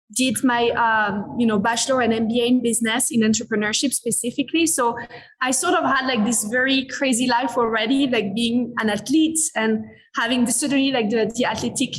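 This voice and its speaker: A woman in a French accent talks at a fairly quick pace with a fairly high pitch, ordinary pitch variation and very even loudness. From France, Paris. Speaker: business executive. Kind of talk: interview conversation.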